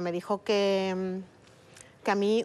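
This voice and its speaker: The woman's speech moves at a very slow pace. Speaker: adoptee searching for birth mother; guest. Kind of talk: TV interview testimony. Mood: serious, personal. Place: studio.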